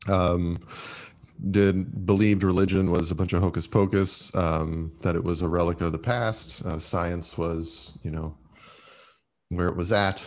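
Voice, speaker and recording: In a very clean recording with a silent background, a man with a very deep, low pitch speaks fairly slowly with fairly even intonation. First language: Italian. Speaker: former monk. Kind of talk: casual interview. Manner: hesitant, many fillers.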